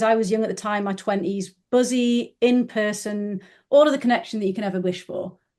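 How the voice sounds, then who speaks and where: Over a quiet background, a woman with a northern English accent speaks at a moderate pace. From northern England. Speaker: business founder. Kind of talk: podcast interview.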